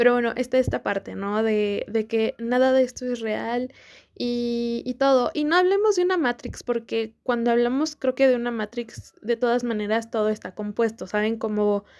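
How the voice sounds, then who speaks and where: Here is a woman speaking with a Mexican accent. Her pitch is high. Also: ordinary pitch variation, moderate pace. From Mexico. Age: 20s. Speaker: podcast host. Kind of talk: casual talk to camera.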